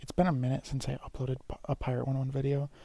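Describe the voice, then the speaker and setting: Quiet speech at a fairly quick pace. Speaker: gaming YouTuber. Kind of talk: video commentary on game leaks.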